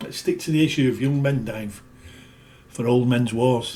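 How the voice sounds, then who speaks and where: A somewhat breathy male voice at a moderate pace with ordinary pitch variation. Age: 60s. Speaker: video blogger. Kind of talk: casual monologue. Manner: emphatic.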